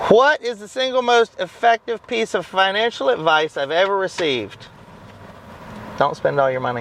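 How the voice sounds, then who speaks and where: The voice moves in very wide pitch swings over noticeable background noise. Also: man. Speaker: online business vlogger. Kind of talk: casual Q&A vlog. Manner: fast; animated.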